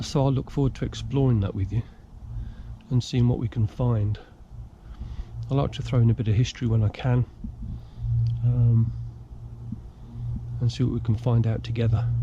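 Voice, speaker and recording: Somewhat breathy and medium in pitch, a man talks at a moderate pace with fairly even intonation and long, frequent pauses. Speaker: outdoors vlogger. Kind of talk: casual vlog narration. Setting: outdoors in woods.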